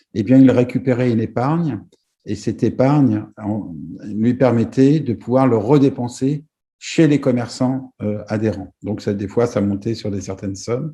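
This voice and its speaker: At a fairly slow pace, the voice sounds somewhat breathy and dark, mellow in tone, with ordinary pitch variation. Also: man, medium pitch for a man. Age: 60s. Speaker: business executive. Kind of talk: presentation. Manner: halting, many hesitations.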